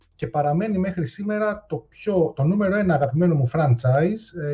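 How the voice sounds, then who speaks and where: Music plays in the background as a man speaks. He keeps a moderate pace with ordinary pitch variation. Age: 30s. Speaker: YouTuber and retro gaming columnist. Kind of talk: casual chat.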